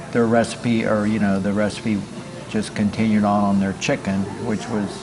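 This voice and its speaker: Over music in the background, a man with a fairly low pitch speaks at a moderate pace in a monotone, flat intonation, his loudness very even and his pauses long and frequent. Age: 70s. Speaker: former restaurant owner. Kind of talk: interview, ghost story. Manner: halting, many fillers.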